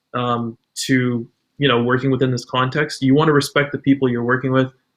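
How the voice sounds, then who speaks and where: A man with a Canadian accent talks fairly quickly at medium pitch, in a monotone with flat intonation. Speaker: UX designer. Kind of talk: podcast interview.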